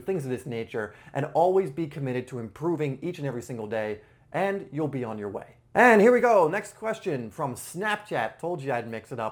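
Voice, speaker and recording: This man talks in a normal speaking voice with lively intonation. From England, Cambridge, then US. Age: 20s. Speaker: soccer coach YouTuber. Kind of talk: Q&A video to camera. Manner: casual, with fillers.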